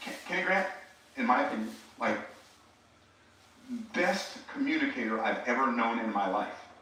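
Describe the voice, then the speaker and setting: A man talks with audible room echo. Noticeable background noise is present. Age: 60s. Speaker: speaker and preacher. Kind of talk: motivational talk. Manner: animated.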